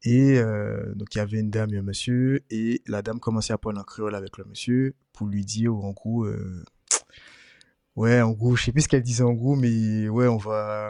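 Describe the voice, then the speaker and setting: Against a quiet background, a man with a medium pitch speaks in a monotone, flat intonation and a dark, mellow tone. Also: moderate pace. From Martinique. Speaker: podcast host. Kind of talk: casual chat. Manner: halting, many fillers.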